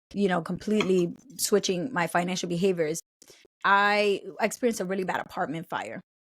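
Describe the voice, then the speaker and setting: With an American accent, a woman speaks at a fairly quick pace, her medium pitch showing ordinary variation. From New York City. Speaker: personal finance educator and author. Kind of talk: podcast interview.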